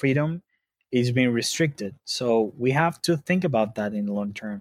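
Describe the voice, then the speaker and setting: A man speaks with a Spanish accent in a dry, close sound with no echo. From Venezuela. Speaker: customer support head at a bitcoin company. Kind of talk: interview. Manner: halting, many fillers.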